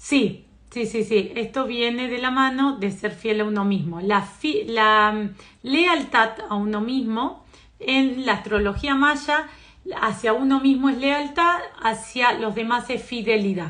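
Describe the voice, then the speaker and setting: Speaking at a very slow pace, a woman has a fairly high pitch, a bright, sharp tone and ordinary pitch variation. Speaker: psychotherapist and astrology teacher. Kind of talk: live stream talk. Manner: hesitant fillers.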